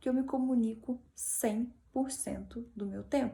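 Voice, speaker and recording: This woman has a high pitch. Her tone is dark and mellow. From Minas Gerais, Brazil. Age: 20s. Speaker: motivational speaker. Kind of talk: talk.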